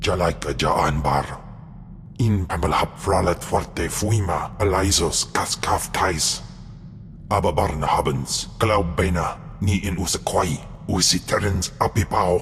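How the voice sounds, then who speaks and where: A man puts on a menacing character voice, very deep and low-pitched, speaking at a fairly slow pace over clear background noise. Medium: video game. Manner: guttural, menacing, alien language.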